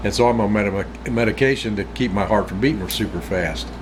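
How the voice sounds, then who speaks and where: In an American accent, a man with a fairly low pitch speaks at a moderate pace with very wide pitch swings, amid noticeable background noise and audible room echo. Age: 60s. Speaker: outdoors vlogger. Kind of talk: casual chat. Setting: smoking a pipe while talking. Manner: rambling conversational, frequent repetitions.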